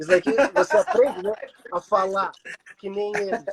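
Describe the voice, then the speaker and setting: The speech comes at a fairly quick pace, with a dry, close sound and no echo. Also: man. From Brazil. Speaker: clown. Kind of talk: casual chat. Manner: animated.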